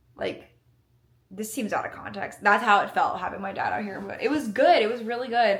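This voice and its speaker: With an American accent and a fairly high pitch, a woman speaks at a fairly quick pace with lively intonation, and audible room echo surrounds her voice. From US South, Alabama. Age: 20s. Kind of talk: casual vlog talk to camera. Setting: indoors, new apartment.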